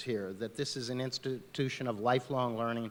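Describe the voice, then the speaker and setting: With an American accent, a man speaks at a moderate pace in a medium-pitched voice, his intonation flat and monotone. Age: 60s. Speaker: political candidate. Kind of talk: candidate forum closing remarks.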